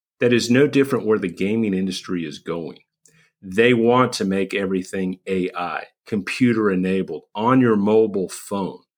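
A man's fairly low-pitched, unremarkable speaking voice at a moderate pace, with ordinary pitch variation, on a very clean recording with a silent background. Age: 50s. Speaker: recovery coach podcast host. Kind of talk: solo podcast monologue.

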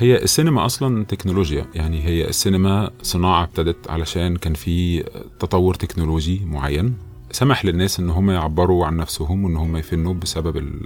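Music runs in the background. Over it, a man speaks in a very deep, low pitch. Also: ordinary pitch variation, moderate pace. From Egypt. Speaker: film director. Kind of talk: interview. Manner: halting with repeated words.

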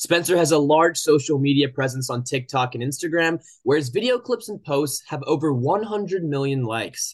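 In an American accent, a normal speaking voice carries lively intonation. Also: man, quiet background. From Oklahoma, US. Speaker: podcast host. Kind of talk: casual interview chat.

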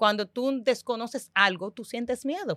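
A woman's bright, sharp voice at a moderate pace, in a very clean recording with a silent background and a dry, close sound with no echo. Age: 30s. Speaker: financial educator. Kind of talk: casual chat.

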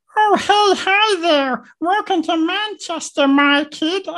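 This put-on character voice sits at an extremely high pitch. It moves at a very slow pace.

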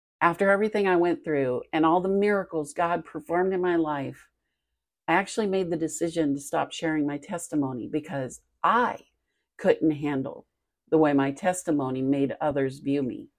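Over a quiet background, a woman with an ordinary speaking voice talks at a moderate pace, her fairly low pitch showing ordinary pitch variation. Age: 50s. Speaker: podcast host. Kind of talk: personal testimony.

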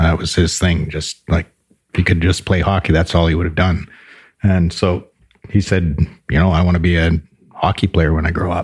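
A man with a Canadian prairie accent, very deep and low in pitch, flat and monotone, somewhat breathy, at a moderate pace with long, frequent pauses. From rural southern Alberta, Canada. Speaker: brewery co-owner. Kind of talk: casual interview. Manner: laughs often.

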